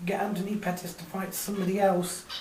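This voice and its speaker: A woman speaks at medium pitch with ordinary pitch variation and a moderate pace. Noticeable background noise sits behind her. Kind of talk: casual sports review commentary.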